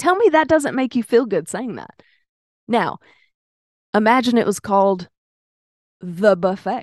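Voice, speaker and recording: Speaking at a fairly slow pace with long, frequent pauses, a woman with a fairly high pitch sounds animated, her lively intonation and big swings in loudness captured in a dry, close sound with no echo. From US South, Arkansas (Pine Bluff). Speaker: podcast host. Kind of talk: casual chat.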